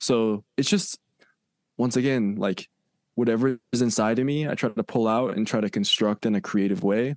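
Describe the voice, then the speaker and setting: In a plain, everyday voice, a man speaks at a moderate pace with medium pitch, ordinary pitch variation and very even loudness, the sound dry and close with no echo over a quiet background. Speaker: content creator. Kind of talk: casual interview chat.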